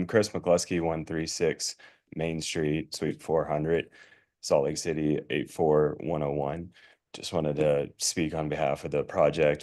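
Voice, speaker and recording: A hoarse, put-on character voice at a moderate pace over a quiet background. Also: man, very deep, low pitch for a man. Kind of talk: formal, stating name and address.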